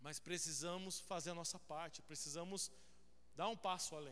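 This man talks in a high voice, keeping a moderate pace. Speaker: pastor. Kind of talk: sermon, then a prayer led before the congregation. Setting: church with a congregation. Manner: fervent, earnest, pleading prayer with repeated invocations of God; conversational, interactive, addresses the congregation directly.

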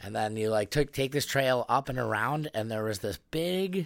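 In an American accent, a man with a plain, everyday voice talks at a fairly slow pace with lively intonation on a very clean recording with a silent background. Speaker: podcast host. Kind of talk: casual chat.

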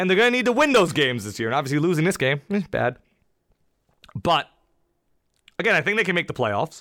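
Very fast and animated, the voice has a bright, sharp tone and very wide pitch swings. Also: man. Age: 20s. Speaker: sports podcast host. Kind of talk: solo sports analysis podcast. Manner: casual, animated.

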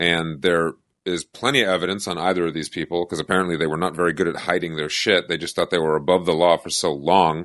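A man with a very deep, low pitch speaks very fast with fairly even intonation. The background is quiet. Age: 30s. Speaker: podcast co-host. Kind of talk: casual chat.

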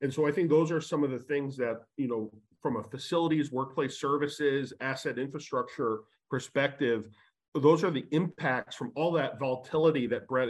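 At a moderate pace and with ordinary pitch variation, a man talks in an unremarkable speaking voice over a quiet background. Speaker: panelist in real estate. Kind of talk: panel discussion.

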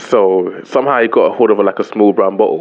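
Fairly quick speech from a man, fairly low in pitch, slightly mellow in tone, with ordinary pitch variation.

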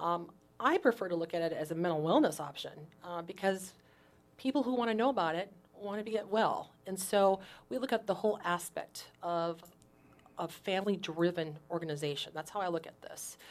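Using a plain, everyday voice, a woman talks at a medium pitch with ordinary pitch variation and big swings in loudness. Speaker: mental health advocate. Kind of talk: interview. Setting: radio studio.

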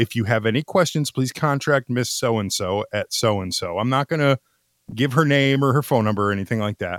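A man speaks in a normal speaking voice at medium pitch. He keeps a moderate pace. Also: dry, close sound with no echo. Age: 40s. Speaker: podcast co-host. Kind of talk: casual chat. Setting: online voice chat.

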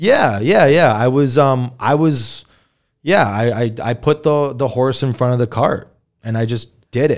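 An American-accented man with an unremarkable speaking voice talks at a fairly slow pace in a medium pitch with ordinary pitch variation, on a very clean recording with a silent background. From New Hampshire, US (Manchester). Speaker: board game cafe owner. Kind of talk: casual interview.

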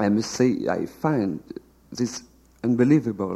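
A man with a French accent talks at a fairly slow pace, his medium-pitched voice dark and mellow in tone. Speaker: novelist. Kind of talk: reading aloud. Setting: stage with audience.

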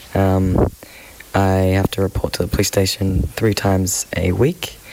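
Against noticeable background noise, a man talks at a fairly low pitch with an Australian accent. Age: 20s. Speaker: climate activist. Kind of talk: interview.

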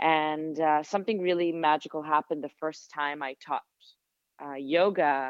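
Woman with an Israeli accent, very deep, low pitch, fairly even intonation, big swings in loudness and a moderate pace. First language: Hebrew. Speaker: sound therapist and yoga teacher. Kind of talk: interview conversation. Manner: reflective.

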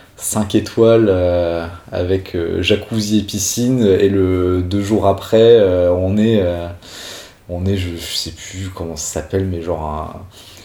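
Over noticeable background noise and audible room echo, a man talks with a very deep, low pitch and fairly even intonation. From Corsica (Ajaccio). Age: 20s. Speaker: professional bassist. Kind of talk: interview. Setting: studio. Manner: halting.

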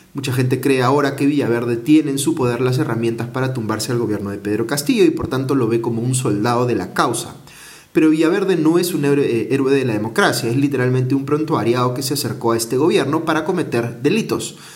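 Very fast speech comes from a man at medium pitch with ordinary pitch variation. The room echo is audible. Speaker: news commentator. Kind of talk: news commentary monologue.

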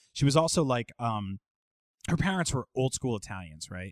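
A man with an American accent talks at a fairly quick pace, his medium pitch carried by lively intonation. It is an ordinary speaking voice, with a dry, close sound and no echo. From Jersey City, New Jersey. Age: 30s. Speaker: video game journalist. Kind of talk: casual chat.

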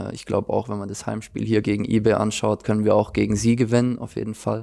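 A man's fairly low, dark, mellow voice in a flat monotone. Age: 20s. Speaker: professional footballer. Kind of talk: interview.

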